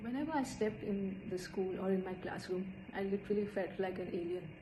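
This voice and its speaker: Over noticeable background noise, a woman talks at a moderate pace and a medium pitch. Audible room echo surrounds her voice. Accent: Indian. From India. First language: Hindi. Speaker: student. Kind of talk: personal storytelling.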